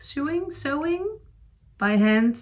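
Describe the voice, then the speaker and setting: A woman talks at a very slow pace in a Dutch accent. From Netherlands. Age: 40s. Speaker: knitting podcaster. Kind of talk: casual chat. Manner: halting, many fillers.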